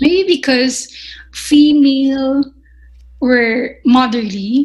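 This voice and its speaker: High pitch and ordinary pitch variation in a woman's speech. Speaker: chef instructor. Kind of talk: podcast interview. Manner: halting.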